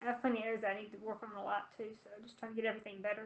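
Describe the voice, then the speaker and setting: A soft-spoken woman at a fairly high pitch and a very fast pace. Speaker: professional MMA fighter. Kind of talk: interview answer at virtual media day. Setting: webcam call. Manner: soft-spoken, quiet.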